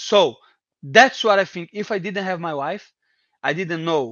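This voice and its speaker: A man with a Portuguese accent speaks at a fairly quick pace with ordinary pitch variation. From Brazil, Brasilia. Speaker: MMA fighter. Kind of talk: casual interview. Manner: halting, repeating words.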